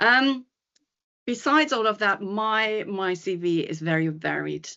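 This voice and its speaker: A woman speaks with a German accent. Her pitch variation is ordinary. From Germany. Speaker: psychologist and coach. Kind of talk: podcast interview. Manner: hesitant, many fillers.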